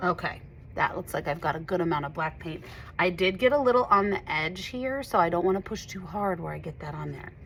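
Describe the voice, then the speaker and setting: Vocal fry runs through this fairly quick delivery, which has lively intonation and big swings in loudness. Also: woman, fairly low pitch for a woman. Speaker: art teacher. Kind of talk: tutorial. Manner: animated.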